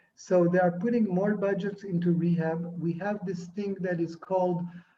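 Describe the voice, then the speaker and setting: A man with an Israeli accent speaks in a high pitch and a dark, mellow tone. His intonation is fairly even and his pace fairly slow. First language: Hebrew. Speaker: film and TV director. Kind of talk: interview. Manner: halting.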